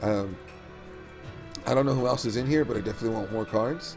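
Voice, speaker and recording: Someone talks at a fairly quick pace with music in the background. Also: man. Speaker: mobile game streamer. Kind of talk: game tutorial talk to viewers. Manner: casual.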